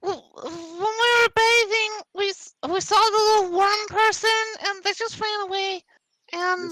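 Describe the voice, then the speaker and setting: Doing a put-on character voice, a woman squeaks at an extremely high pitch and a moderate pace, recorded with a dry, close sound and no echo. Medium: actual play. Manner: rambling.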